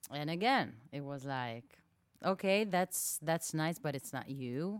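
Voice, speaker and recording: A woman with an Israeli accent, very deep, low pitch, and lively intonation at a fairly slow pace. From southern Israel, small town. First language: Hebrew. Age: 30s. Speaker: singer-songwriter. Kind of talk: casual interview chat. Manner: halting, many fillers.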